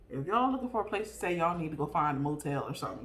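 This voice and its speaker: A woman's fairly low-pitched, animated voice at a very fast pace, with audible room echo. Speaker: vlogger. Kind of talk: casual chat.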